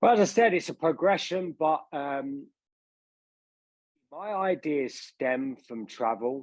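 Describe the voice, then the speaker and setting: With a London accent, a man speaks at a very slow pace, pitched fairly high. His pitch swings very widely, and he leaves long, frequent pauses. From England, northwest London (Harrow). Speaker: drinks brand founder, former stage performer. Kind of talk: interview.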